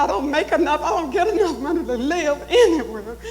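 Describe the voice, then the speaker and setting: A woman speaks at a fairly quick pace amid noticeable background noise. Audible room echo surrounds her voice. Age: 70s. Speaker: town hall attendee. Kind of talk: public comment. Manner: emotional, pleading.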